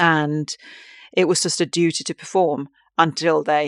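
Against a quiet background, a woman with a Finnish accent speaks very deep and low with fairly even intonation. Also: dry, close sound with no echo. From Finland. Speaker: tantric sex and relationship coach, podcast host. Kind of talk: solo podcast monologue, casual and personal. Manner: halting, with many fillers and restarts.

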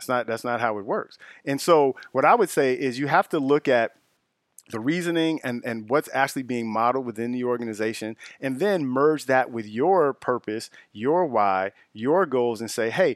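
This man has an ordinary speaking voice and an American accent, with ordinary pitch variation at a moderate pace. The sound is dry and close, with no echo. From Chicago area, US Midwest. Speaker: diversity recruiting leader. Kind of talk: casual interview.

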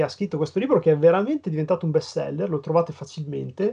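Pitched high, a man's dark, mellow tone carries ordinary pitch variation. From northern Italy, Piacenza. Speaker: comic book letterer and graphic designer. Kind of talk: casual interview chat.

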